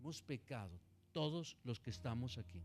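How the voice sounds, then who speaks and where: A man's voice at a moderate pace with very wide pitch swings, music in the background. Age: 60s. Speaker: pastor. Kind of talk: sermon. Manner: animated.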